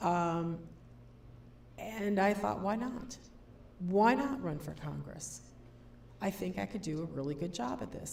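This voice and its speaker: Long, frequent pauses mark this woman's speech in an American accent. Her voice is fairly low with very wide pitch swings, and the room echo is audible. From US upper Midwest, Madison, Wisconsin. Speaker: political candidate and college professor. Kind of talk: candidate speech at public forum. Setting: public forum with audience. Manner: conversational, many fillers.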